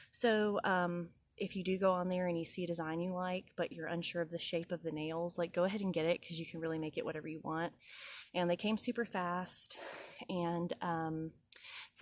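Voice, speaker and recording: At a moderate pace, a woman with an American accent speaks in a fairly low voice. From US South, Georgia. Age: 30s. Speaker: vlogger. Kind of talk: casual vlog talk. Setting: outdoors on her porch. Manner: hesitant, many filler ums.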